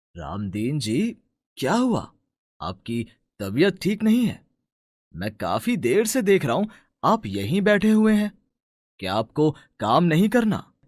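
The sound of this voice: A man performs a put-on character voice at fairly high pitch with very wide pitch swings. His pace is fairly slow with long, frequent pauses, in a very clean recording with a silent background.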